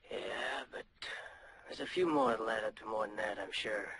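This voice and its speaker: Putting on a raspy character voice, a man speaks at a medium pitch and a moderate pace. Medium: short film. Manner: laconic, dry.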